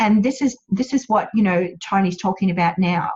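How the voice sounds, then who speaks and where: A woman speaks with an Australian accent. Her voice is somewhat breathy. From Australia, central Queensland. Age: 50s. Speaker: wellness business owner. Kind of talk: webinar presentation. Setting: online webinar.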